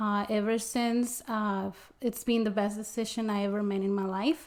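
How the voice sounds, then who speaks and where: Using fairly even intonation, a woman with a Spanish accent speaks at a moderate pace in a fairly high voice. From Mexico. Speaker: interpreter and small business owner. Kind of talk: interview. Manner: halting, many fillers.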